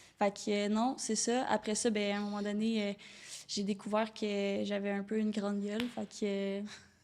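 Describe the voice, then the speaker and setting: This speaker has a Quebec accent and a moderate pace. The intonation stays flat and monotone. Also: woman, medium pitch for a woman. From Quebec, Rive-Nord of Montreal. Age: 20s. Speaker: door-to-door sales entrepreneur. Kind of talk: podcast interview.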